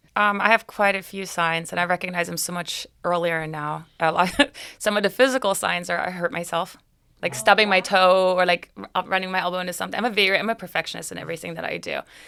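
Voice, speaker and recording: A woman's medium-pitched voice, bright and sharp in tone, at a very fast pace with ordinary pitch variation and big swings in loudness. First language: not English. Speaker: business owner. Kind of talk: casual chat.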